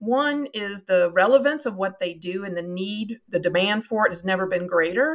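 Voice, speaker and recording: At a moderate pace, a woman with a Kentucky accent speaks at a medium pitch with lively intonation, captured on a very clean recording with a silent background. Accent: Kentucky Southern US, noticeable. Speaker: marketing agency founder. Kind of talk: interview conversation.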